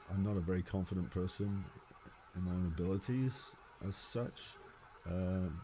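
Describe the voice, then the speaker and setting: With a very deep, low pitch and a dark, mellow tone, a man speaks somewhat breathily and with fairly even intonation. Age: 60s. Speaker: singer-songwriter. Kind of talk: interview conversation. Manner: halting, many repetitions.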